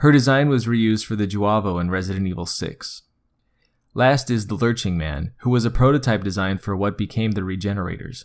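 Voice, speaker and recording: The recording is very clean, with a silent background. Speech moves at a fairly quick pace with ordinary pitch variation. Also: man, fairly low pitch for a man. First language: Spanish. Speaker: gaming video narrator. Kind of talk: scripted narration.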